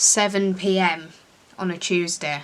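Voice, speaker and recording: Very slow, monotone speech with flat intonation in an English accent. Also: woman. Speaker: beauty vlogger. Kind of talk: casual makeup tutorial vlog. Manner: chatty, rambling with fillers.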